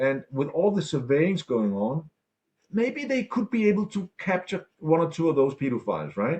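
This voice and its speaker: The man's voice is somewhat breathy. He moves at a fairly quick pace with lively intonation. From Denmark. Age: 60s. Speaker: political activist and ex-banker. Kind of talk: interview. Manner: animated.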